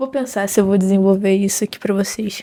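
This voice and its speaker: This woman's voice has a dark, mellow tone. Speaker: psychology student and book vlogger. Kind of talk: casual vlog chat.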